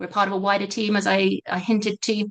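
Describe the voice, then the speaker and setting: A woman speaks in a British accent. Her voice has vocal fry. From Britain. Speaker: education consultant, webinar host. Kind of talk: webinar presentation. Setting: online webinar.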